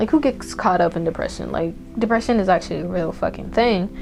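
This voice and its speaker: Music plays in the background as a woman with a non-native accent speaks. Her tone is animated and her pace fairly quick. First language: not English. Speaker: tarot reader. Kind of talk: pick-a-card tarot reading. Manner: casual, profanity-heavy, animated.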